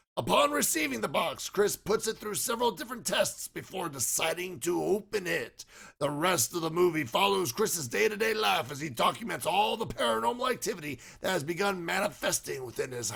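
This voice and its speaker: In a put-on character voice, a man talks at a high pitch and a fairly quick pace. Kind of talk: horror movie review narration. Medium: solo performance. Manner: scripted, dramatic storytelling.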